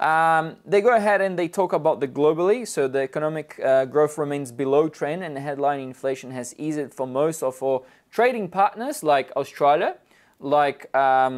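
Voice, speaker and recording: Behind a male speaker, things are quiet. He goes at a medium speed, his pitch shifting normally. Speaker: market analyst. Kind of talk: commentary. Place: studio. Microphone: lapel.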